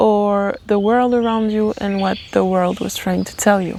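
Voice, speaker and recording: Over noticeable background noise, a speaker with a non-native accent talks in a monotone, flat intonation. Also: woman. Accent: non-native English accent, noted by self. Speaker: tarot reader, channeler. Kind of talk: channeled tarot reading. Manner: halting, self-correcting.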